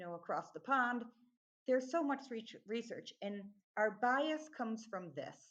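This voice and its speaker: Moderate pace with long, frequent pauses, in an American accent. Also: woman, fairly high pitch for a woman, lively intonation. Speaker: accent training company founder. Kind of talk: podcast interview.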